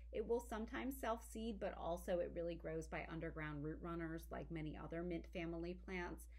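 A woman talks at a fairly quick pace. She hardly pauses at all. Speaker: herbalist and author. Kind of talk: educational talk. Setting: home business / herb garden. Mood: warm, enthusiastic. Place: home room. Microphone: webcam.

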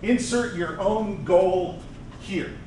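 There is light background noise along with audible room echo. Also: man. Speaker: conference presenter. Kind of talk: conference talk. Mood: relaxed, joking. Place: hall.

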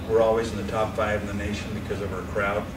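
Loud background noise behind a man talking at a moderate pace. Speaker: college basketball coach. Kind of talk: casual talk to an audience with Q&A. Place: meeting room. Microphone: camera far.

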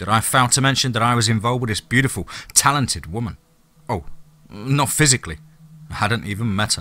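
Simply plain reading aloud.

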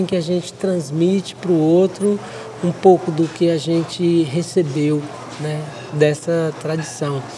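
Over noticeable background noise, a woman speaks at a fairly slow pace with a fairly low pitch and monotone, flat intonation. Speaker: puppet workshop teacher. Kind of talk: explaining in interview.

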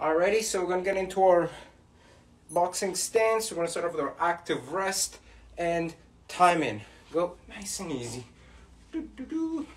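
This man speaks with a high pitch and ordinary pitch variation. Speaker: boxing fitness coach. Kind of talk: workout instruction. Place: home room. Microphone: camera far.

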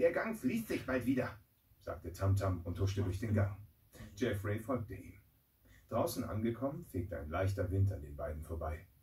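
A man with a fairly low pitch and a dark, mellow tone speaks at a moderate pace. His voice is somewhat breathy, with audible room echo. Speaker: voice actor. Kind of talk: children's audiobook reading. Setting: studio. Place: booth.

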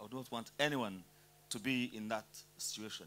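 At a fairly quick pace, a man talks in a bright, sharp tone over light background noise. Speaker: speaker. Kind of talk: panel talk / motivational speech. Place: hall. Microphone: handheld.

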